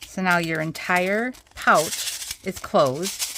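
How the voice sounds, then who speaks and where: A woman speaks with an American accent. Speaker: craft tutorial host. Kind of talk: tutorial. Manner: casual, chatty with fillers.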